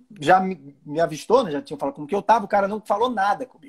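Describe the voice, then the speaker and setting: The voice is animated and runs at a very fast pace. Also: man. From Brazilian Northeast. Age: 40s. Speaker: livestream host. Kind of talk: casual chat.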